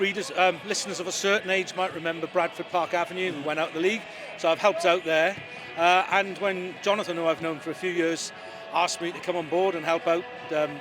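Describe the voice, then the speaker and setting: Against music in the background, a man with a Welsh accent speaks at a very fast pace and high pitch, his intonation fairly even. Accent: Welsh (Swansea). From Wales, Swansea. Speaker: lawyer and football club adviser. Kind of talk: interview.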